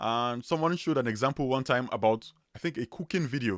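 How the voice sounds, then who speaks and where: A man talks in a strong Nigerian accent. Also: dry, close sound with no echo, very clean recording, silent background. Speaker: web developer, YouTuber. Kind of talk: live stream chat. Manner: casual, with repetitions.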